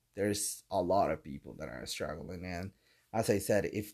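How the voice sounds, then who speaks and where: A man speaks at a fairly slow pace with ordinary pitch variation on a very clean recording with a silent background. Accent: Colombian. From Colombia. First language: Spanish. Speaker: podcaster and radio producer. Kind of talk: casual solo monologue. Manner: animated.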